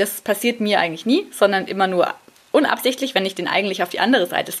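Here a woman is talking. Her pace is very fast. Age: 30s. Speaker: podcast host and freelance journalist. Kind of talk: casual solo monologue. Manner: casual with many fillers.

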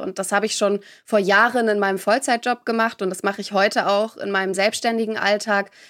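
Speaking at a very fast pace, a woman keeps a medium pitch and fairly even intonation on a very clean recording with a silent background. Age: 20s. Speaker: podcaster and beauty pageant runner-up. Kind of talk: interview. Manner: hesitant fillers.

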